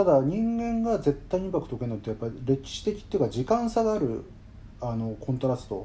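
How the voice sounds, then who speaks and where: A man speaks at a very fast pace with a fairly high pitch and very wide pitch swings. His somewhat breathy voice has a dark, mellow tone. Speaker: composer. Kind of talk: interview.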